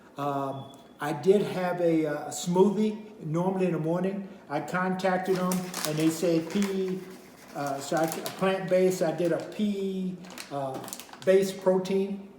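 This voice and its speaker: Noticeable background noise sits behind a man's high-pitched voice. He speaks fairly slowly with fairly even intonation. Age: 70s. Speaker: minister. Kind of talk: product review talk to camera. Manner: casual, hesitant.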